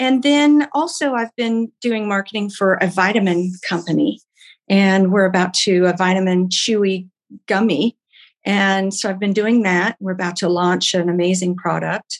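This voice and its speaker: Speaking at a moderate pace with an American accent, a woman has a plain, everyday voice of medium pitch and ordinary pitch variation. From Oklahoma. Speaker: bakery founder and entrepreneur. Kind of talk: interview.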